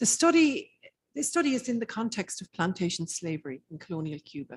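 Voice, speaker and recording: The voice is somewhat breathy, with an Irish accent. The sound is dry and close with no echo. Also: woman. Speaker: academic researcher. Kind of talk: conference keynote lecture. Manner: hesitant, many fillers.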